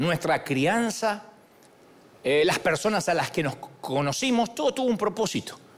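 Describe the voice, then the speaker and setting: In an animated tone with very wide pitch swings, the speaker goes at a fairly slow pace over noticeable background noise. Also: man. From Argentina. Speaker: pastor. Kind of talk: sermon. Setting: church.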